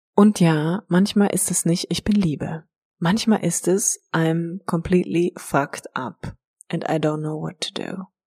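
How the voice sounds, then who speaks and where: A woman's somewhat breathy voice, fairly low in pitch with a dark, mellow tone, very slow in pace with fairly even intonation, dry and close with no echo. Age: 30s. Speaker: life coach and yoga teacher. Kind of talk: personal monologue. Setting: empty house being cleared. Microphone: echo in the room.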